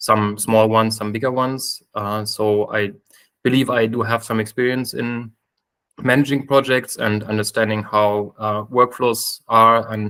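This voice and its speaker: Fairly slow, monotone speech from a man with a bright, sharp tone and a German accent, the intonation flat throughout. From Germany. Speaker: software engineer, committee candidate. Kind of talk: self-introduction in a video call meeting. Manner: hesitant, many fillers.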